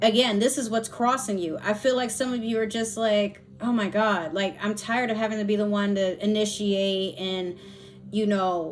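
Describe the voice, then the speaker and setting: Background noise is clearly audible behind this woman. She keeps a moderate pace, her intonation fairly flat. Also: medium pitch for a woman. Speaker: tarot reader. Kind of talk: tarot reading. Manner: pausing, slightly halting; casual, relaxed.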